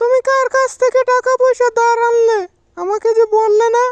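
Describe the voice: In a cartoonish character voice that sounds female, the speaker hits an extremely high pitch for a woman at a moderate pace.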